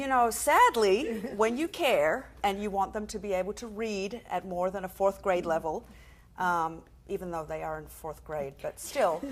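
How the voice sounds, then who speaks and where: With big swings in loudness, a woman of medium pitch talks at a moderate pace over noticeable background noise. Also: lively intonation. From Australia. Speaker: comedian and author. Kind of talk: talk show interview. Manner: animated.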